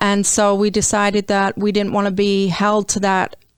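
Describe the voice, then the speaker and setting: In a very clean recording with a silent background, a woman speaks with an English accent. Her pitch is medium and her pace moderate. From England, London. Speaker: marketing agency owner. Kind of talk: radio interview. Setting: studio.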